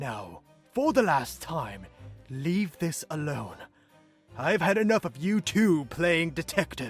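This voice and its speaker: A put-on character voice moves at a fairly slow pace with long, frequent pauses. Faint music plays in the background. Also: man, fairly high pitch for a man. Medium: audio drama. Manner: irritated, dismissive.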